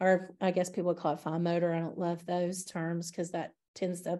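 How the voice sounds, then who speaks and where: A woman's fairly low, dark, mellow voice with a Southern US accent, monotone and flat in intonation, at a fairly quick pace over a quiet background. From US South. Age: 50s. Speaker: early childhood studies professor. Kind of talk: interview conversation. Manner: hesitant, many fillers.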